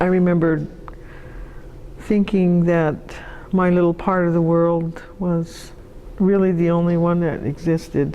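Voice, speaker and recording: The speech comes at a fairly slow pace with very even loudness, monotone, flat intonation and long, frequent pauses over noticeable background noise. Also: woman, fairly low pitch for a woman. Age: old. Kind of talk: interview answer.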